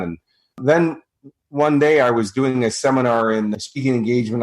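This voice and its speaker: Talking at a fairly quick pace, a man with a Chicago accent shows ordinary pitch variation. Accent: American (Chicago). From US Midwest, Chicago. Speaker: motivational speaker and coach. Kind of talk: interview.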